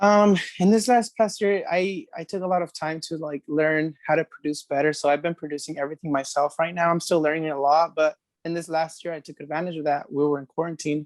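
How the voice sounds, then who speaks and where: In a Spanish accent, a man speaks at a fairly quick pace with fairly even intonation and a dry, close sound with no echo. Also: fairly high pitch for a man. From California, Merced; Mexican heritage. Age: 20s. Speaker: singer-songwriter. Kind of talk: interview. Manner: casual, many fillers.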